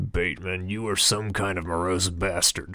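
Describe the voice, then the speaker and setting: In a put-on, raspy character voice, a man speaks at a moderate pace with a very deep, low pitch and monotone, flat intonation. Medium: read story. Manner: casual, rambling, crude.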